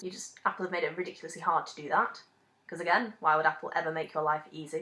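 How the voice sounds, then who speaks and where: A woman talks at a very fast pace in a Manchester accent. Her tone is bright and sharp. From Manchester, England. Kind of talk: casual rant to camera. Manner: angry, ranting.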